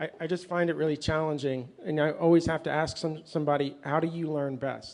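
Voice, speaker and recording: At a fairly quick pace, a man speaks with a fairly high pitch and fairly even intonation. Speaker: conference panelist, Go educator. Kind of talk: panel discussion. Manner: fast.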